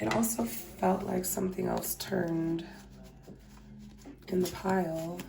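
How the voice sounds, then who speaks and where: Very slow speech over noticeable background noise. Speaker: tarot reader. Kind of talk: tarot reading. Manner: casual, hesitant with fillers.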